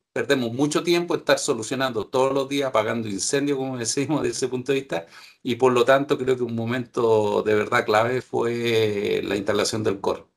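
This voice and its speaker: Hardly pausing at all, a man with an unremarkable speaking voice talks at a medium pitch with ordinary pitch variation. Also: fairly quick pace. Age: 60s. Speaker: operations manager. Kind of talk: webinar panel discussion.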